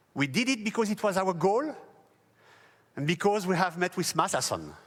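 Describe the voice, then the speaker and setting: With a French accent, a man talks at a moderate pace in a high pitch, his intonation lively. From France. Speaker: company founder. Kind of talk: press event speech. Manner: formal.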